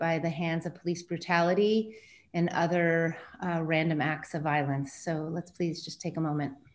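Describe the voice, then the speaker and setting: In an ordinary speaking voice, a woman with a fairly low pitch talks at a moderate pace with fairly even intonation. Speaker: film discussion host. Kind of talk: moderated video call conversation. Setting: video call.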